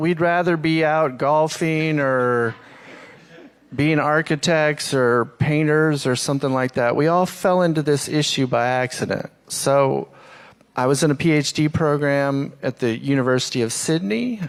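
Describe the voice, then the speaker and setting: A man's fairly high voice at a fairly slow pace, very even in loudness, with ordinary pitch variation. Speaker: social scientist, panelist. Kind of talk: panel presentation. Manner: soft-spoken.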